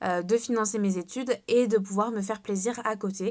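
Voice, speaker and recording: The intonation stays monotone and flat. It belongs to a woman. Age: 20s. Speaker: network marketing seller. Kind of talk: sales pitch. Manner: hesitant, many fillers.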